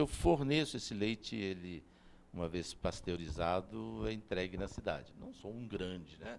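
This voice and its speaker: A very deep, low-pitched man at a fairly slow pace. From interior of São Paulo state, Brazil. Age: 70s. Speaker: dairy farmer and consultant. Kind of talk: interview.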